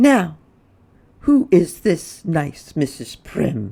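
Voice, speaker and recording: A man does a put-on character voice, high-pitched and swinging very widely in pitch, at a very slow pace. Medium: read story. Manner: prim, disapproving.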